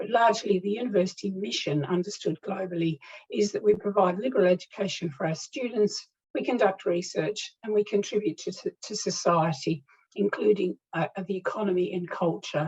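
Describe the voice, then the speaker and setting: With a British accent, a woman talks fairly quickly at a medium pitch. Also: ordinary pitch variation. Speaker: higher education consultant. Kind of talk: lecture. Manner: fast; halting.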